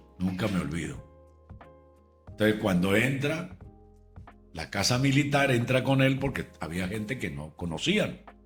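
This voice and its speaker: Over music in the background, a man with a fairly low pitch speaks at a fairly slow pace, using very wide pitch swings and long, frequent pauses. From Venezuela. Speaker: radio and TV announcer. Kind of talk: interview answer.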